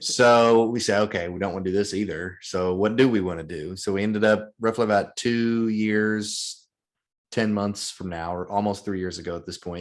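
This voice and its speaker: In a Southern US accent, a man speaks at a moderate pace with a fairly low pitch and fairly even intonation against a quiet background. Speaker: real estate investor. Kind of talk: podcast interview.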